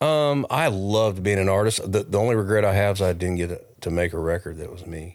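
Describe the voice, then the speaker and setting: Speaking in a plain, everyday voice with an American accent, the speaker moves at a fairly quick pace with hardly any pauses and ordinary pitch variation. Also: man, fairly low pitch for a man. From US West, California (Modesto/Oakdale area). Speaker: songwriter. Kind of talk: casual chat.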